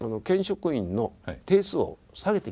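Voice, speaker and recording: A man with a dark, mellow tone talks at a fairly slow pace, his pitch swinging very widely. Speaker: prefectural governor; guest. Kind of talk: interview talk show. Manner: measured, formal. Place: home room.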